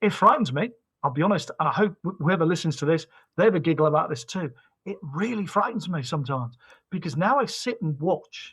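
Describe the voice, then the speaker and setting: The speaker moves at a fairly quick pace with lively intonation. The recording is very clean, with a silent background. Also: man. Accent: British. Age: 50s. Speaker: company CEO. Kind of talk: podcast interview. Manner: animated, repetitive.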